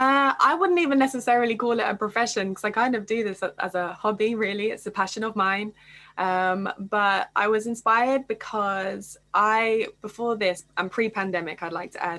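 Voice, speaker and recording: With a British accent, a woman talks at a moderate pace with hardly any pauses, her fairly high voice bright and sharp, with ordinary pitch variation, over a quiet background. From England. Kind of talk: panel discussion.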